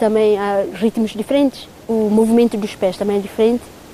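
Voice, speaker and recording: There is noticeable background noise as a woman talks in a fairly high pitch. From East Timor (Dili). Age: 30s. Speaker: dancer in a Timorese folk dance group. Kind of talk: interview testimony.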